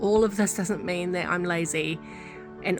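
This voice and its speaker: A woman with a New Zealand accent, music playing in the background. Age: 30s. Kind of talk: casual talk to camera.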